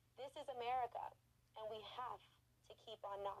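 Lively in intonation, a woman speaks at a fairly high pitch. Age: 20s. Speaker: state legislator. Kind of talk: interview.

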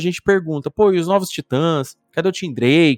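With a normal speaking voice, a man talks at a fairly high pitch and a moderate pace with lively intonation, captured in a very clean recording against a silent background with a dry, close sound and no echo. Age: 40s. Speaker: podcast host. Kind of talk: casual chat.

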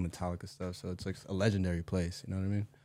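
Speaking very fast with an American accent, a man delivers a flat, monotone line in a very deep, low pitch with a dark, mellow tone. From Orange County, California. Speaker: musician, producer and audio engineer. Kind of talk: casual chat.

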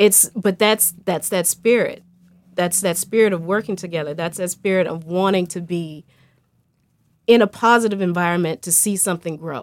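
A woman talks in a plain, everyday voice at a medium pitch. Her intonation is fairly even and her pace moderate. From Colorado. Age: young. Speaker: former education worker. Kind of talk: casual chat.

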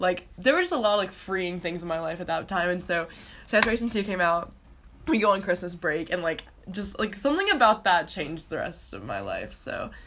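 Fairly quick speech with an American accent and ordinary pitch variation, over noticeable background noise. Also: woman, medium pitch for a woman. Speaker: student podcast co-host. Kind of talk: casual chat.

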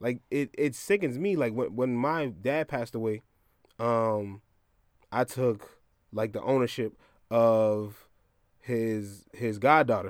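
A very slow American accent with ordinary pitch variation and long, frequent pauses. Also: man, medium pitch for a man. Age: 30s. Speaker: podcast co-host. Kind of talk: casual chat.

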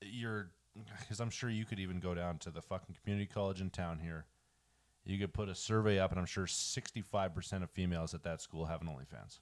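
A man talks very fast in a very deep, low pitch. His pitch varies in an ordinary way. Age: 20s. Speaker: podcast co-host. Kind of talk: casual chat.

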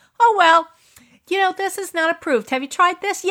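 An extremely high-pitched, put-on character voice moves along at a fairly quick pace. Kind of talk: bureaucratic, scripted. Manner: dismissive, mocking.

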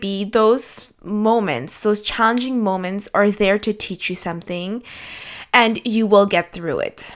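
A woman at a moderate pace, with fairly even intonation. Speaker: solo podcast host. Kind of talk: casual monologue.

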